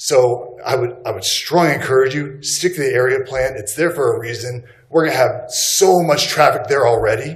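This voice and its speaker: A man with an American accent speaks at a moderate pace, his pitch fairly high and his pitch variation ordinary. He hardly pauses, and there is noticeable background noise along with audible room echo. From Texas. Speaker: resident speaking at public comment. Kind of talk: public comment. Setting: public meeting.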